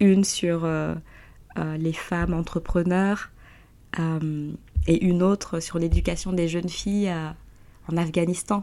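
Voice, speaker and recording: Very slow and full of long, frequent pauses, a woman speaks at fairly low pitch. Her tone is dark and mellow, her intonation monotone and flat. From Guinea. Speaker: entrepreneur. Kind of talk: interview.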